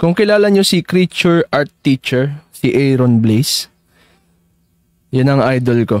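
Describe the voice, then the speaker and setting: Recorded dry and close with no echo against a silent background, a man talks fairly slowly at a fairly high pitch with lively intonation and very even loudness. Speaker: digital artist streaming live. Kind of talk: casual live-stream chat while drawing. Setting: live stream.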